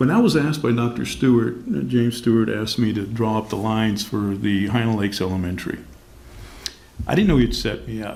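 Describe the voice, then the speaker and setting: Heard with audible room echo and noticeable background noise, a man speaks at a medium pitch. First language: Spanish. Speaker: panelist at community discussion on race. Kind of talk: panel discussion.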